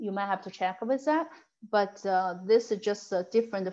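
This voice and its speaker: Over a quiet background, a woman at medium pitch has an unremarkable speaking voice. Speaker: title company rep giving a real estate tech class. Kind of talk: online training class.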